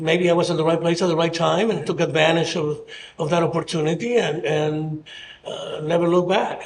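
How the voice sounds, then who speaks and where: A man with a fairly high pitch speaks at a fairly quick pace in a monotone, flat intonation. Noticeable background noise and audible room echo fill the recording. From Mexico City, Mexico. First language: Spanish. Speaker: mayoral candidate. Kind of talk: interview. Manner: halting.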